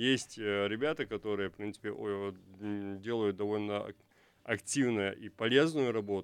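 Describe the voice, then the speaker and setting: Over a quiet background, a man with an ordinary speaking voice talks at a moderate pace, medium pitch and ordinary pitch variation. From Chechnya. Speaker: blogger, civic activist. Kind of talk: radio talk show discussion. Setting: radio studio.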